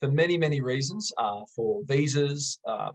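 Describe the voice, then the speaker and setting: Somewhat breathy, this man's voice has a fairly high pitch for a man. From Australia. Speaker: English teacher. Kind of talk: tutorial. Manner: enthusiastic; moderate exam-style pace.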